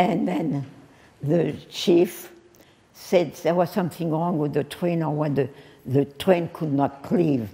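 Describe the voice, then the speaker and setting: In a French accent, a woman speaks at a very slow pace with a very deep, low pitch and ordinary pitch variation. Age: 80s+. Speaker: French teacher. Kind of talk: public speech, personal wartime memories. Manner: hesitant, many pauses and fillers.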